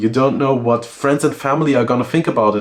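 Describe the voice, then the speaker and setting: Noticeable background noise can be heard. Over it, a man is talking. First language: German. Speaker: SEO and content consultant. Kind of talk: talking-head advice video.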